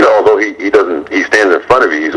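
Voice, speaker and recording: A man, with noticeable background noise. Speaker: boxing ring announcer. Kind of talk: interview answer, boxing analysis.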